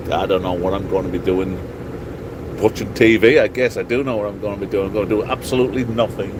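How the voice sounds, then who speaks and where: Over noticeable background noise, a man speaks in a fairly low voice with an English accent. His intonation is flat and monotone. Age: 50s. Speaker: truck driver vlogger. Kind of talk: casual vlog monologue. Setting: in a truck cab at a truck stop.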